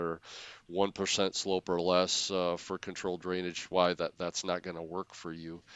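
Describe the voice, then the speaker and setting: Speaking at a fairly quick pace, a man with an Upper Midwest accent has a very deep, low pitch. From Wisconsin. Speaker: soil scientist. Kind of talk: casual interview.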